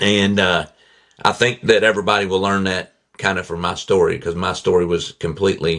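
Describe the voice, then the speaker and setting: Against a quiet background, the speaker talks at a fairly quick pace with a Southern accent. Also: man. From Kentucky, near Owensboro. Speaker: accident survivor and motivational speaker. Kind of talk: testimony.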